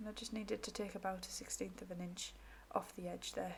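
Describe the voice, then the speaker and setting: Against noticeable background noise, a woman of medium pitch talks at a very fast pace with fairly even intonation. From northeast England. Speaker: crafter / craft YouTuber. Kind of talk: craft tutorial.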